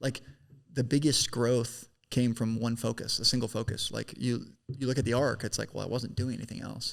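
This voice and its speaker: A man's fairly quick, monotone, flat delivery with vocal fry. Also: medium pitch for a man. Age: 20s. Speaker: business founder. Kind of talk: casual chat.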